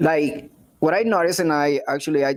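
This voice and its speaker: At a moderate pace, someone talks in a Spanish accent. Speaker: live show host. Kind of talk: casual interview. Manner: halting, many fillers.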